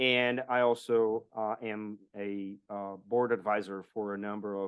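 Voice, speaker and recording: A monotone, flat delivery in a Portuguese accent. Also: man. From Brazil. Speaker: blockchain strategist and podcaster. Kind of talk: interview.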